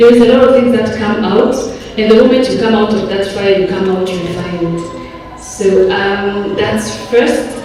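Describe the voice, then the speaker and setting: With a French accent, a woman speaks at a medium pitch. Audible room echo and noticeable background noise surround her voice. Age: 30s. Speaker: audience member, entrepreneur. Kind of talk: audience question at summit. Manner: halting, many fillers.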